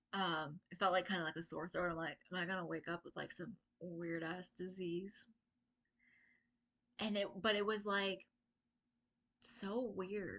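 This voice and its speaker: Pausing long and often, a woman speaks at a fairly slow pace in a medium pitch with a bright, sharp tone and fairly even intonation. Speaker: spiritual vlogger channeling messages. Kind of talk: casual monologue. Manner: casual, rambling with many fillers.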